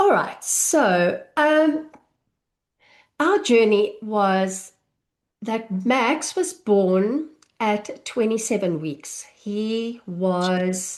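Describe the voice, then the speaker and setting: Over a quiet background, a woman with a South African accent talks very slowly at a fairly high pitch, her voice swinging very widely up and down. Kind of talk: live online masterclass. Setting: live online session with chat.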